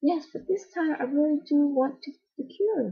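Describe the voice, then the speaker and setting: At a moderate pace, a soft-spoken woman talks. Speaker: amateur audiobook reader. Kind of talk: reading aloud. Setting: at home.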